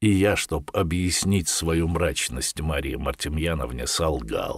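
This man has a very deep, low voice with vocal fry. He talks at a very slow pace, and his pitch varies in an ordinary way. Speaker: audiobook narrator. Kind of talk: reading aloud.

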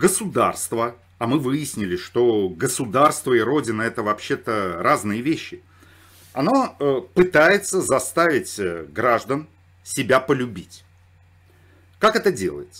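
A man at a very slow pace, with long, frequent pauses and very wide pitch swings. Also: medium pitch for a man, quiet background. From Saratov, Russia. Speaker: political commentator. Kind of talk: commentary monologue.

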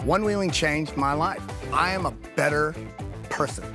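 A man with an American accent at a moderate pace, with clear music in the background. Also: dry sound with no echo. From Florida. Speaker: stroke survivor and pro onewheel rider. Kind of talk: interview answer. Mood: earnest, emotional, inspired. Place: open country.

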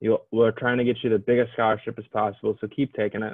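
A man speaks in a Midwestern US accent with a monotone, flat intonation. The background is quiet. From Illinois. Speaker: admissions counselor. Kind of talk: informational presentation. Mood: friendly, encouraging. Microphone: webcam.

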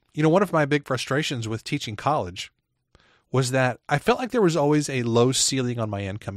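Over a quiet background, a man talks at a very fast pace. His medium-pitched voice has a dry, close sound with no echo. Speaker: podcast host, author and ghostwriter. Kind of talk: solo podcast monologue. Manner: casual and conversational.

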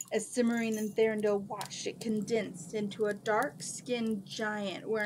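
Heard here is an unforced reading voice. Nothing about the delivery is pushed.

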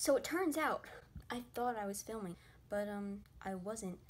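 Music plays in the background as a woman speaks. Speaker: beauty vlogger. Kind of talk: casual vlog chat. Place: home room. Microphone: webcam.

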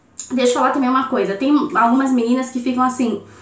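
A woman speaks at a very fast pace in a high-pitched, animated tone. Noticeable background noise sits behind her. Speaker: beauty vlogger. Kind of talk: hair tutorial. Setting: home bathroom.

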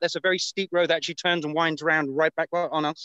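With a British accent, a man talks at a very fast pace in a high voice with a bright, sharp tone, and the sound is dry with no echo. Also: quiet background. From Britain. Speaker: battlefield guide, war buff; on-site guide filming battlefield. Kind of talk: live walking tour commentary. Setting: outdoors on hill trail. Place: open country. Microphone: video call.

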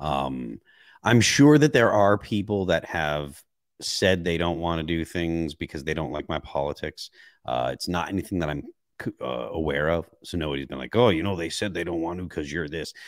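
A man speaks with a very deep, low pitch and ordinary pitch variation at a moderate pace. The sound is dry with no echo, over a quiet background. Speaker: metal band musician. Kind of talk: casual interview chat. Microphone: studio mic.

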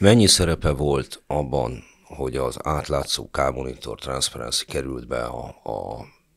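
At a very slow pace, a man talks with a very deep, low pitch. His pitch variation is ordinary, and the background is quiet. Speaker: podcast host. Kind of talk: moderated interview discussion. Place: studio. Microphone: studio mic.

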